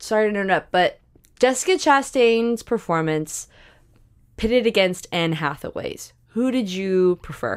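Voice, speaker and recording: In a plain, everyday voice, a woman talks fairly slowly with a fairly high pitch and lively intonation. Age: 20s. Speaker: film podcast co-host. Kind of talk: casual chat.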